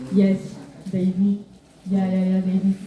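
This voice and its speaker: A woman speaks with a French accent. There is noticeable background noise behind her. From Belgium (Brussels), Moroccan heritage. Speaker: cultural exchange presenter. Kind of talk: Q and A presentation. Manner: halting, many fillers.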